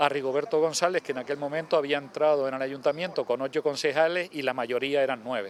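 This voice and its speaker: Over noticeable background noise, a man talks at a fairly high pitch with ordinary pitch variation. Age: 60s. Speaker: local politician. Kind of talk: interview.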